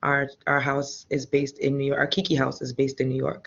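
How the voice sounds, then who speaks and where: A woman speaking quietly with a very deep, low pitch at a moderate pace. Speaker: ballroom house mother. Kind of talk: panel discussion.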